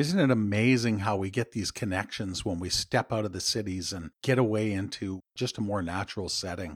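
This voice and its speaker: A man with a Canadian accent talks in an unremarkable speaking voice at a fairly quick pace, with hardly any pauses. His pitch is fairly low with ordinary variation, and the sound is dry and close with no echo. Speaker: podcast host and executive coach. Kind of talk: interview. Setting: remote call.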